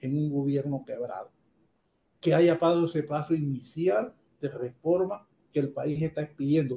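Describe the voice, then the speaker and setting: A man's fairly high, dark, mellow voice at a fairly slow pace, with ordinary pitch variation. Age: 70s. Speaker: economist. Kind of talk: radio interview.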